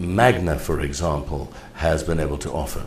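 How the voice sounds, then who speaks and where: The man's intonation is lively and his pace moderate, while audible room echo and noticeable background noise fill the recording. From Kenya. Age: 60s. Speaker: mayoral candidate and preacher. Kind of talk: interview.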